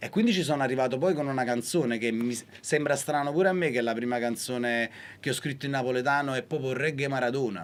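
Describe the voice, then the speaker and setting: A man talks at a very fast pace and medium pitch. His pitch variation is ordinary. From Naples. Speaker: singer-songwriter. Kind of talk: interview.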